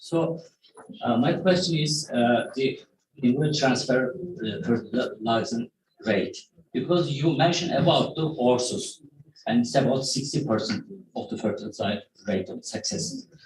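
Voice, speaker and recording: Pausing long and often, a man with a Turkish accent speaks at a moderate pace in a fairly high-pitched voice with lively intonation. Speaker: academic. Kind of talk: Q&A question.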